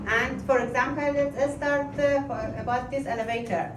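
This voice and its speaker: With a non-native accent, a woman speaks at a fairly slow pace amid noticeable background noise and audible room echo. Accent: foreign. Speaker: museum docent. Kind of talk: guided tour. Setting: art museum. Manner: halting, many fillers.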